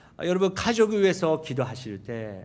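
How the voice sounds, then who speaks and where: The recording is very clean, with a silent background. A man speaks with a Japanese accent. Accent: Japanese accent in Korean. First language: Japanese (speaking Korean). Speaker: pastor. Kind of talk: sermon. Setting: church. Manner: halting.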